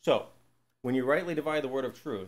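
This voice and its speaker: Talking at a very fast pace, a man keeps to a medium pitch. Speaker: Bible teacher. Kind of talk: Bible teaching to a live group. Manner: conversational, asks the audience questions.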